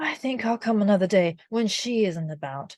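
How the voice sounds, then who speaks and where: A soft-spoken woman's put-on character voice at a medium pitch. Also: moderate pace. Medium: read story. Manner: soft-spoken, timid.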